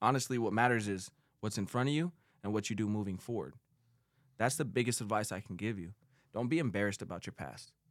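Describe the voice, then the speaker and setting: In a very clean recording with a silent background, a man with a fairly low pitch talks at a very fast pace, broken by long, frequent pauses. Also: ordinary pitch variation. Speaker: former prisoner, painting estimator. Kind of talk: personal testimony. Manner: smooth, articulate.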